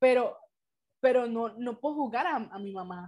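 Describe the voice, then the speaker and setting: A high-pitched woman at a moderate pace. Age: 20s. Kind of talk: casual faith-based talk with teen girls.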